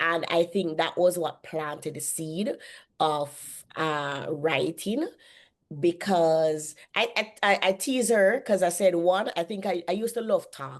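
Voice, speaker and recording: Against a quiet background, a woman with a Jamaican accent speaks very slowly at a fairly low pitch with ordinary pitch variation. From Jamaica, Kingston. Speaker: author and publishing CEO. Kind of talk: podcast interview. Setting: podcast interview.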